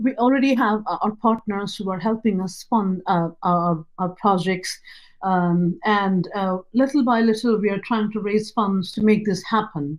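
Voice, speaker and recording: A woman's medium-pitched, fairly slow speech with a Nepali accent. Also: ordinary pitch variation. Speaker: nonprofit founder. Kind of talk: pitch presentation. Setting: virtual event.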